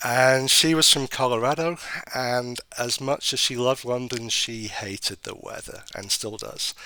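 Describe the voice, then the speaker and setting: This man has a British accent and a bright, sharp tone. He talks at a fairly slow pace. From northern England, Sheffield. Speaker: government regulator. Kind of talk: interview.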